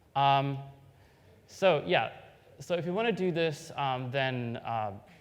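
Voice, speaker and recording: Very slowly and with lively intonation, a man speaks at a fairly high pitch, with audible room echo around him. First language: not English. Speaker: software developer giving a conference talk. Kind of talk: technical conference talk. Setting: stage with audience. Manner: hesitant, many fillers.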